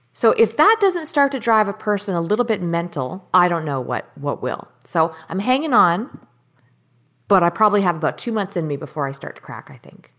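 This woman speaks with a Canadian accent. Her pitch swings very widely. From Surrey, British Columbia, Canada. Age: 30s. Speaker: professional angler and entrepreneur. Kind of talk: casual interview chat. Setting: video call.

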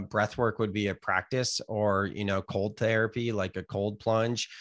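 A man's fairly low-pitched voice with a Californian accent, fairly slow pace and fairly even intonation, on a very clean recording against a silent background. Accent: Californian American. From US West Coast, California (Gilroy). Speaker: author and yoga teacher. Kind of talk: casual interview chat.

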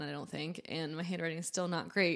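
In a plain, everyday voice, a woman with an American accent talks at a fairly low pitch with fairly even intonation, recorded very cleanly over a silent background. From New Hampshire, US. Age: young. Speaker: food entrepreneur. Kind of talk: casual interview.

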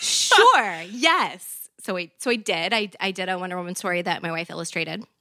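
A woman with an American accent, medium pitch, fairly even intonation, a moderate pace and a plain, everyday voice. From US Deep South. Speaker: comic book and TV writer. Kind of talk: casual chat.

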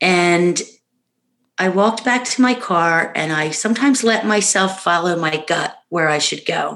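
A woman has an unremarkable speaking voice at a medium pitch. She talks fairly slowly with ordinary pitch variation. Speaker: bereaved mother. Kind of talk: casual interview about grief. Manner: warm, uplifting.

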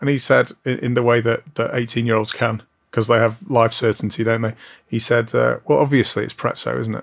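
Over a very clean recording with a silent background, a man with vocal fry talks at a fairly quick pace, at medium pitch, with fairly even intonation. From northern England, Blackpool. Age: 40s. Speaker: managing director of a holiday resort company. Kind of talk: casual interview chat.

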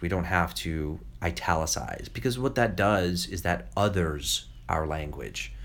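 In an American accent, a man with a very deep, low pitch and vocal fry speaks with lively intonation amid audible room echo. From New York, US. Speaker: children's novelist. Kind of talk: interview. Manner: halting, many repetitions.

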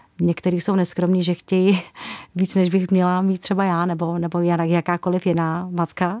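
In a very clean recording with a silent background and dry, close sound with no echo, a woman speaks at a moderate pace in a fairly low, dark, mellow voice with flat, monotone intonation and very even loudness. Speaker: singer. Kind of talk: radio interview.

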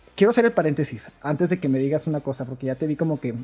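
Music plays in the background while a man talks at a very fast pace. His voice is fairly high for a man, with lively intonation. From rural Chihuahua, northern Mexico. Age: 30s. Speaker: church musician. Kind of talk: casual chat. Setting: at home.

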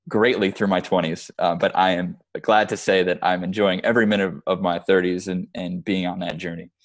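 Against a quiet background, a man with an American accent talks at a moderate pace in a very deep, low pitch. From Chicago. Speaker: creative director and film producer. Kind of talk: interview. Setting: call.

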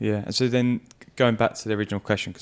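A man at a very fast pace with monotone, flat intonation. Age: 30s. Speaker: podcast host and mindset coach. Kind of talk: casual chat.

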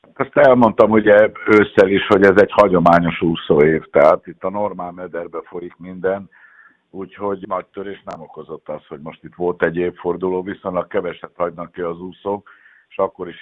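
A man's very deep, low voice at a moderate pace, with big swings in loudness. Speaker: national swim team coach. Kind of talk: interview.

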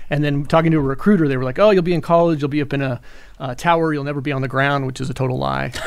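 With an American accent and fairly even intonation, the speaker races along at a very fast pace over noticeable background noise. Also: man, fairly high pitch for a man. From Pasadena, California. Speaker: former correctional officer and author. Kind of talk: interview. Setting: studio.

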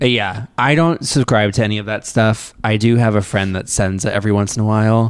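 A plain, everyday voice moves at a fairly quick pace with ordinary pitch variation and hardly any pauses, on a very clean recording with a silent background. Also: man, fairly low pitch for a man. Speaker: podcast co-host. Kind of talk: casual chat.

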